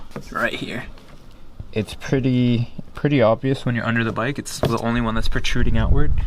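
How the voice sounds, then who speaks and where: Against noticeable background noise, a man talks at medium pitch in a monotone, flat intonation. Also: fairly quick pace. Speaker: motorcycle DIY video host. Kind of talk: tutorial. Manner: fast; casual.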